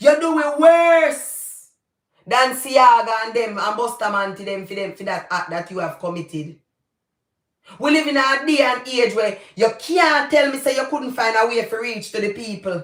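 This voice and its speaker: A woman with a Jamaican accent and a high voice sounds animated, her intonation lively and her pace fairly slow. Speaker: YouTuber, commentator. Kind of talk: livestream commentary.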